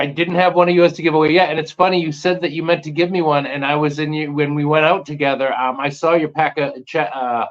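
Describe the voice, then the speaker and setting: A very fast American accent with fairly even intonation and hardly any pauses. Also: man, fairly high pitch for a man. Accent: Boston accent, thick sometimes. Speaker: magnet fishing YouTuber. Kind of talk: casual chat.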